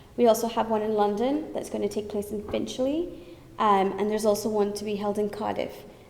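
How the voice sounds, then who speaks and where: Fairly quick female speech with ordinary pitch movement, heard through audible room echo and noticeable background noise. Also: medium pitch for a woman. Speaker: thalassemia charity representative. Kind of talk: conference talk. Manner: loud; animated.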